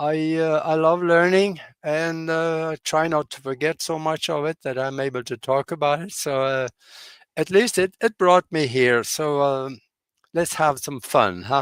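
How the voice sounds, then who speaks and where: A man with a Norwegian accent speaks at a fairly slow pace and fairly high pitch, with ordinary pitch variation. The sound is dry and close, with no echo. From Norway. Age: 80s+. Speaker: pilot and UFO researcher. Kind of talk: interview. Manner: halting, frequent fillers.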